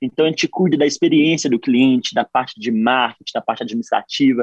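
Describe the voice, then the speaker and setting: An energetic man with lively intonation and a dry, close sound with no echo. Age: 20s. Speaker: running content creator and entrepreneur. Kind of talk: radio interview.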